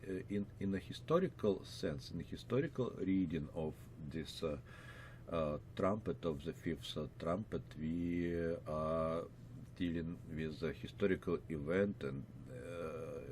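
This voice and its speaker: The speaker has a Russian accent and vocal fry. Delivery is fairly slow, with lively intonation. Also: man, very deep, low pitch for a man. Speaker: pastor and Bible teacher. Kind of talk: Bible lecture. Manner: many filler words, hesitant.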